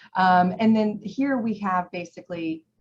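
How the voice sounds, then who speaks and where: Somewhat breathy, a woman talks with ordinary pitch variation. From Iran. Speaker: presenter on mental health. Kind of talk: educational presentation. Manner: casual, with many fillers.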